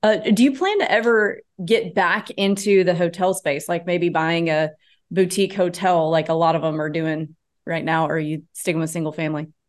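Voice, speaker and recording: Over a quiet background, a woman uses an ordinary speaking voice at a fairly low pitch, with ordinary pitch variation and a moderate pace. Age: 30s. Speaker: podcast host and real estate agent. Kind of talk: interview.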